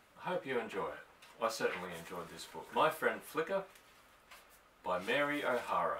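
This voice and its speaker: With an Australian accent, a man speaks at a moderate pace, taking long, frequent pauses, his loudness swinging widely over noticeable background noise. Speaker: audiobook reader. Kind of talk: casual introduction to a story reading.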